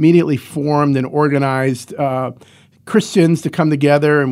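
A man with an American accent has an ordinary speaking voice, fairly high in pitch with ordinary pitch variation, at a fairly quick pace on a very clean recording with a silent background. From Ohio, US (Cleveland). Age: 60s. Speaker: founder of a homeless shelter charity. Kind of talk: interview.

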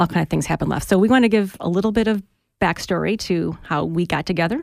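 A woman's vocal fry at a very fast pace. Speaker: podcast co-host. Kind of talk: casual chat.

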